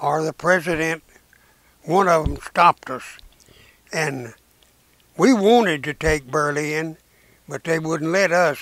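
Speaking with a Southern US accent, a man with a fairly high voice goes at a fairly slow pace with long, frequent pauses, in a dry sound with no echo. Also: quiet background. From Arkansas. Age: 80s+. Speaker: WWII veteran. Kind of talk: interview answer. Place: home room. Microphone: lapel.

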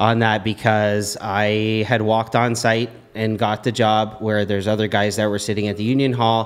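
A man speaks at a moderate pace in an ordinary speaking voice. His pitch is fairly low. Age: 40s. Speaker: mason. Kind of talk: casual chat.

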